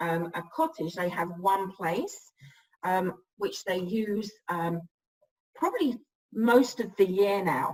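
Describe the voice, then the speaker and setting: A woman with an English accent, medium in pitch and somewhat breathy, with lively intonation, a very slow pace and long, frequent pauses. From England. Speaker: real estate broker. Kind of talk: interview. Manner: hesitant, many fillers.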